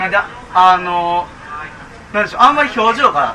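The voice is raised and projected, with lively intonation. It moves at a fairly quick pace over noticeable background noise. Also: man. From Japan, Nara Prefecture. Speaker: documentary film director. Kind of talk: casual interview chat. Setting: live public recording at a cafe with audience.

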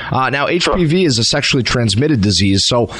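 Against noticeable background noise, a man with an American accent speaks at a medium pitch with lively intonation. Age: 20s. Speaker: state legislator. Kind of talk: talk radio interview.

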